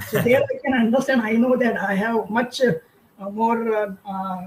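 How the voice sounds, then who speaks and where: Speaking slowly with a Marathi accent, a man uses an extremely high pitch and ordinary pitch variation. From India, Maharashtra. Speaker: career counsellor. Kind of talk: webinar interview. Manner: halting, many fillers.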